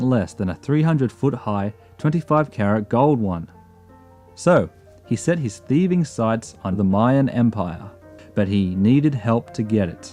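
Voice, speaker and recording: A man talks at a moderate pace in a medium pitch with lively intonation. Music plays in the background. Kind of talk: comedic travel documentary narration.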